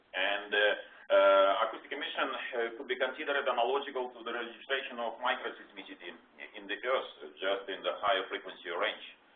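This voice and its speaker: With a Russian accent, a man talks at a fairly quick pace with ordinary pitch variation and big swings in loudness, amid noticeable background noise and audible room echo. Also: medium pitch for a man. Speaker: research scientist. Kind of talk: lecture. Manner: halting, many fillers.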